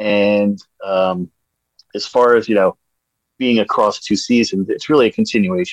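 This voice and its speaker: With an American accent, a man talks at a moderate pace with long, frequent pauses, a fairly low pitch and ordinary pitch variation, in a dry, close sound with no echo. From New Jersey, US. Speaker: high school teacher. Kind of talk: casual chat. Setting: video call.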